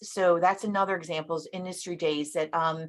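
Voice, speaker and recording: Against a quiet background, a woman is speaking. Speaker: government customer service director. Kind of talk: webinar presentation. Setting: virtual event. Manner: fast.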